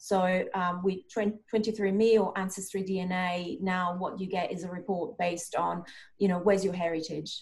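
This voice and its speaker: A woman speaks at a fairly slow pace with a medium pitch. Her somewhat breathy voice stays monotone and flat. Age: 40s. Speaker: performance and wellbeing coach. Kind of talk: interview conversation.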